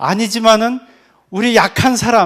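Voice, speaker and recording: A man talks at an extremely high pitch. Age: 60s. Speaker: missionary. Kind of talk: mission report sermon in church. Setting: church evening service.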